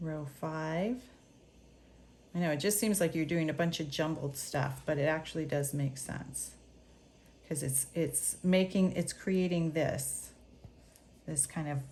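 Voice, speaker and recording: The speaker talks at a fairly slow pace with long, frequent pauses, vocal fry and ordinary pitch variation. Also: woman, very deep, low pitch for a woman. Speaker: knitting teacher. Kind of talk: tutorial.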